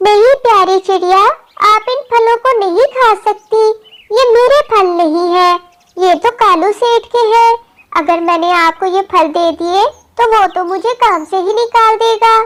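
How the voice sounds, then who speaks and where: A woman puts on a cartoonish character voice. Her pitch is extremely high. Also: moderate pace. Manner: earnest, soft-spoken.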